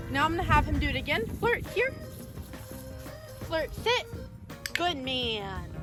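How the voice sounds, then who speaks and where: Speaking at a fairly slow pace, a woman with a high pitch makes very wide pitch swings and long, frequent pauses, while music plays in the background and room echo is audible. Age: 20s. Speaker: dog trainer. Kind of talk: tutorial. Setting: outdoors.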